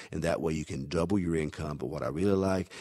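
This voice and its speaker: A man with a Southern US accent speaks at a very fast pace in a very deep, low voice with vocal fry and ordinary pitch variation. The recording is very clean, with a silent background. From US South. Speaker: network marketing recruiter. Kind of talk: sales pitch.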